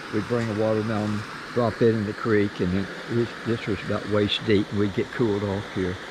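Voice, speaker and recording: Noticeable background noise sits behind this recording. A man speaks at a moderate pace with a fairly low pitch. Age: 80s+. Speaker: retired philosophy professor. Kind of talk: casual interview talk on a walking tour. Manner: enthusiastic storytelling.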